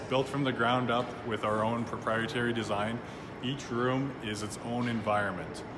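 Noticeable background noise sits behind this recording. A man speaks over it at a moderate pace. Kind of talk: interview answer. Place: factory. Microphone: phone near.

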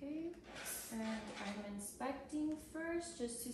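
A woman speaks at a very slow pace with lively intonation. Audible room echo and noticeable background noise surround her. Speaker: nurse or clinician performing a physical assessment. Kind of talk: clinical assessment narration, unscripted. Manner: calm, procedural, with filler words. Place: home room.

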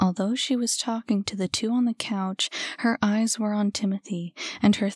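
The reading voice is unforced. Intonation holds fairly level.

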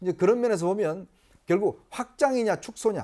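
Fairly quick male speech against a quiet background. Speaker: political commentator. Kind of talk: panel discussion. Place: studio. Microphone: lapel.

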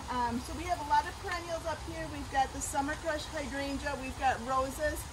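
A woman's voice with noticeable background noise. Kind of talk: tutorial. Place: garden. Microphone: camera far.

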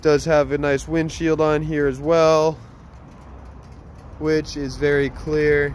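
A man is speaking, and the sound is dry with no echo. Light background noise is present. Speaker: motorcycle salesman. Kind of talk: sales walkaround commentary. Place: street. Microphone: phone near.

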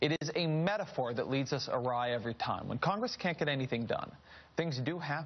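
This man talks at a fairly quick pace in a fairly high, somewhat breathy voice with ordinary pitch variation. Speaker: cable news host. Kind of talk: news talk segment. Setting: studio. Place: studio.

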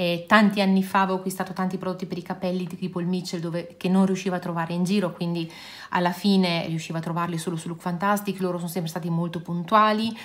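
A woman speaks at a very fast pace. Her intonation is monotone and flat. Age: 50s. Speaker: beauty and nail youtuber; nail youtuber. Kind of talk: casual product review vlog.

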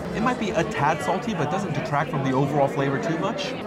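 Crowd noise behind a man talking at a fairly quick pace. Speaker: food vlogger. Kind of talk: food review commentary. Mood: cheerful, enthusiastic. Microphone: phone near.

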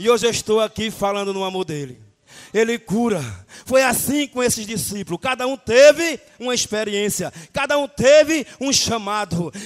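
Against a quiet background, a man shouts at a moderate pace, animated and high-pitched, with lively intonation. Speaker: preacher. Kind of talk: sermon. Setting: church. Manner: animated, fervent preaching with frequent shouted 'aleluia'; rhythmic, exhortative, repeating phrases for emphasis. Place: church.

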